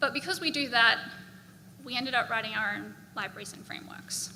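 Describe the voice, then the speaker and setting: With an Australian accent, a woman speaks fairly quickly at a high pitch, and audible room echo surrounds her voice. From Australia, Brisbane. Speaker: software engineer. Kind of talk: conference talk. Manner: casual, filler-heavy.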